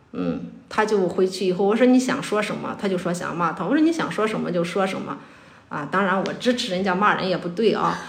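Speech moves at a fairly quick pace with ordinary pitch variation. Noticeable background noise sits behind it. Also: woman, medium pitch for a woman. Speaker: school teacher. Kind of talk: casual chat.

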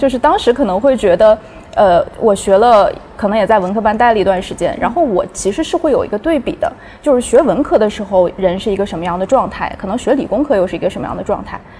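A woman at a very fast pace with lively intonation, over noticeable background noise. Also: fairly high pitch for a woman. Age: young. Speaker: academic partnerships staff. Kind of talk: casual chat.

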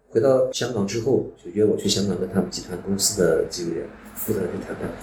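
Over noticeable background noise, a man speaks with audible room echo. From Xinjiang, northwest China. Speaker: former police detective and business executive. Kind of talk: personal life story monologue.

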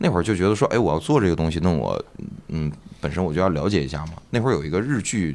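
Very deep and low-pitched, a man talks very fast with lively intonation. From Northeast China. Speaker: stand-up comedian and comedy club owner. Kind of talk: casual chat.

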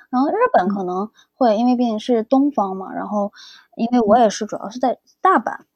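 In a dry, close recording with no echo, a woman with a normal speaking voice talks at a fairly quick pace and fairly high pitch, showing ordinary pitch variation and big swings in loudness. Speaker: graphic design PhD student. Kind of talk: casual interview chat.

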